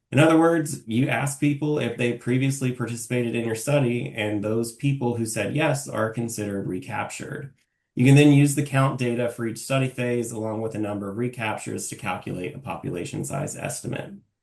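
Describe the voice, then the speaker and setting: A man's fairly quick, somewhat breathy speech with hardly any pauses. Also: medium pitch for a man, ordinary pitch variation. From southeastern Kentucky (Clay County, Appalachia). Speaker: public health researcher. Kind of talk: research presentation. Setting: video call.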